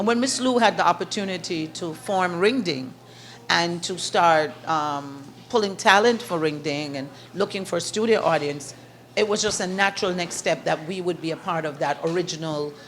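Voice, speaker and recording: With a Jamaican accent, a woman talks at a moderate pace with a fairly low pitch and ordinary pitch variation. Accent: Jamaican lilt, kept. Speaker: author and event host. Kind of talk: interview. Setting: in a shop. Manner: animated.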